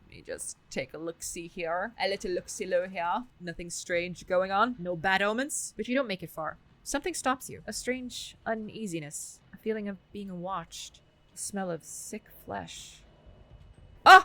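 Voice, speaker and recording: This woman's tone is bright and sharp. She keeps a moderate pace while her loudness swings widely. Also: medium pitch for a woman, ordinary pitch variation. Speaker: gaming streamer. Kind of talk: game playthrough, reading dialogue aloud.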